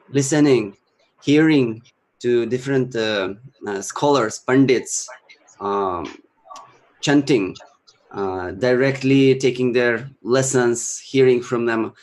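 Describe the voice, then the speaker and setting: In a Russian accent, a man speaks very slowly with long, frequent pauses and ordinary pitch variation. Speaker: Sanskrit chanting teacher and musician. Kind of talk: interview talk / casual presentation. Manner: halting, many fillers.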